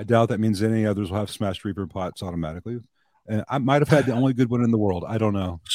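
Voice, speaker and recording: In an American accent, a man's fairly low, dark and mellow voice moves with ordinary pitch variation. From US South, Jonesboro, Arkansas. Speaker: amp technician. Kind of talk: casual chat.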